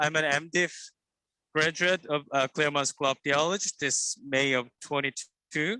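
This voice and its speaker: Speaking at a fairly slow pace, a man has a bright, sharp tone in a dry, close sound with no echo. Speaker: seminary graduate. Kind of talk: short speech of thanks. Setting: video call while walking outdoors.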